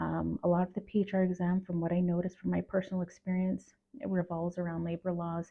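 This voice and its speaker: Quiet and fairly low-pitched, a woman talks at a moderate pace. Her intonation is flat and monotone. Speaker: HR professional and video creator. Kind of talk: casual talk to camera. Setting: at home at night. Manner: halting with fillers.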